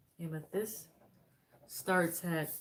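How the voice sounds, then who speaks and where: A soft-spoken woman talks in a fairly low pitch with monotone, flat intonation. Noticeable background noise runs underneath. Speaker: tarot reader. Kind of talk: tarot reading. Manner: low, soft-spoken tone.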